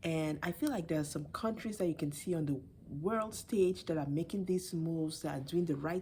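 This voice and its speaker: A soft-spoken, somewhat breathy woman with a dark, mellow tone, a very deep, low pitch and ordinary pitch variation. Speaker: video blogger. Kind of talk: casual commentary. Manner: halting.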